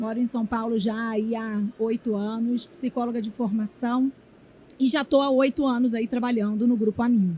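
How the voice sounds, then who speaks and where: Speaking at a moderate pace with fairly even intonation, a woman's fairly high voice comes through noticeable background noise. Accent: Rio de Janeiro. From Rio de Janeiro, Brazil. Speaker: HR executive. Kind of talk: interview. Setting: conference event.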